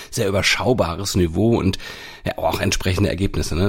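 A man with a normal speaking voice talks at a moderate pace, his pitch fairly low. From Hamburg, northern Germany. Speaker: sports podcast host. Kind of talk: casual chat.

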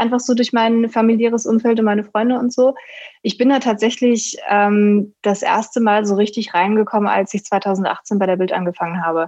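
A woman's fairly high-pitched, an unremarkable speaking voice with fairly even intonation, moderate pace and very even loudness. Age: 20s. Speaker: sports journalist. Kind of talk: casual chat.

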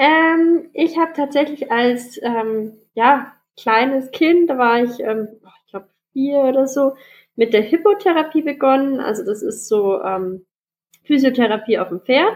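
A woman speaks at a fairly slow pace. Her high pitch carries lively intonation. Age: young. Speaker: para-equestrian dressage rider. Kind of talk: interview.

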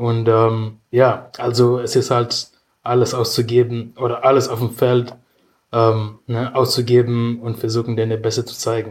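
A man speaks at a medium pitch and a fairly slow pace, somewhat breathy and flat in a monotone, on a very clean recording with a silent background. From Kenya, Nairobi. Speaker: rugby player. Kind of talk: casual chat.

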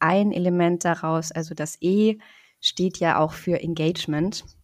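A woman's fairly low voice at a fairly slow pace, on a very clean recording with a silent background. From northern Germany, Rostock (Baltic coast). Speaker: psychologist. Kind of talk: interview.

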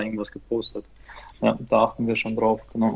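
A man is speaking. His pace is moderate. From Ukraine, moved to Germany as a child. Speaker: football fan page operator. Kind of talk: casual chat.

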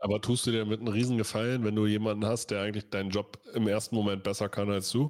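Very fast, flat and monotone, a man speaks at a fairly low pitch and a very even loudness. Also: hardly any pauses. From Lower Saxony, Germany. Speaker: American football podcast host. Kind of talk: casual chat. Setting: livestream.

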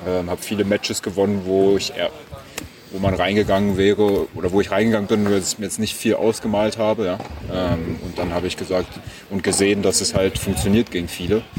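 Noticeable background noise runs under this recording. A man with a fairly low voice talks at a fairly quick pace. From Berlin, Germany. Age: 20s. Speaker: professional tennis player. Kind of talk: interview.

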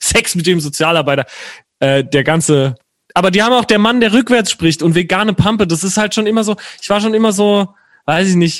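With ordinary pitch variation, a man speaks at a fairly quick pace in a high voice. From Palatinate, southwest Germany (Herxheim near Landau). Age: 20s. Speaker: singer-songwriter. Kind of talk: casual chat.

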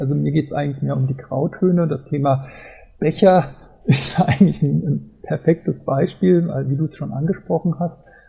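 A man with a fairly high pitch, fairly slow pace and ordinary pitch variation, over music in the background. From Germany, Mainz. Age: 40s. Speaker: football fan blogger and travel author. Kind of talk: casual interview.

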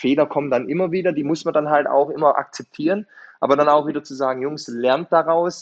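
Using a plain, everyday voice, a man talks at a fairly quick pace with a fairly high pitch and fairly even intonation. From Swabia, Germany. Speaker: football coach. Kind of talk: interview.

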